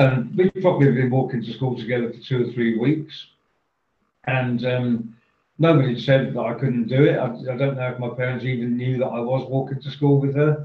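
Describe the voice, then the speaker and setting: He has a normal speaking voice at a medium pitch for a man. His intonation stays fairly even and his pace is fairly quick. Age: 60s. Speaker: professional speaker and author. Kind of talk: casual interview, storytelling.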